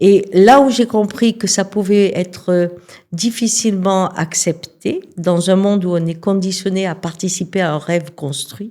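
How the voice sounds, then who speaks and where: A woman's voice, dark and mellow in tone, moves along at a fairly slow pace. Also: medium pitch for a woman, ordinary pitch variation. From southern France, Cévennes near Alès. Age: 60s. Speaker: shaman and sex therapist. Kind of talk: interview.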